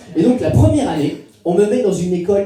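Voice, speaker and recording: Noticeable background noise runs through the clip. The man's voice carries audible room echo. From western France (Niort). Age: 30s. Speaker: comedian. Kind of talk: stand-up. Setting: stage with audience. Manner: halting.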